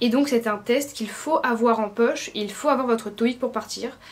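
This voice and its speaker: A woman speaks at a fairly high pitch and a fairly quick pace. Her intonation stays fairly even. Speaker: student vlogger. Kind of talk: vlog tutorial. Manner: fast.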